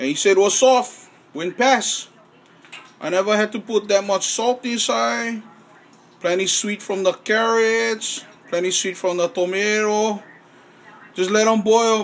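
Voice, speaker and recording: A man with a high pitch talks at a fairly slow pace, his intonation fairly even, leaving long, frequent pauses. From Hawaii. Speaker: home cook. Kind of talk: casual cooking talk to camera. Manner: relaxed, folksy. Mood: relaxed, proud, joking. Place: kitchen. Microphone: phone near.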